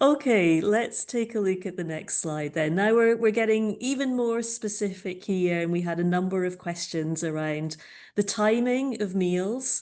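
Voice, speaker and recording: In a Scottish accent, a woman speaks at a moderate pace with a medium pitch and ordinary pitch variation, against a quiet background. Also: hardly any pauses. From Scotland. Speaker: webinar moderator. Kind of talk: webinar moderation.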